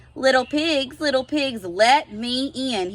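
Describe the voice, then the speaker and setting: A woman's high-pitched, growling put-on character voice at a fairly slow pace. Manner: growling, hungry.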